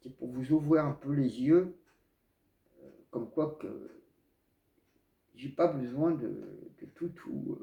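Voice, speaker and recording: A man speaks at a very slow pace, his loudness swinging widely, with long pauses coming often. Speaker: spiritual video blogger. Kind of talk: casual monologue to camera. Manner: hesitant, many fillers.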